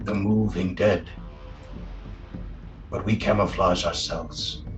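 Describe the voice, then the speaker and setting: A man in a put-on character voice at a fairly slow pace, with clear music in the background. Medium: actual play. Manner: slow, formal, halting speech.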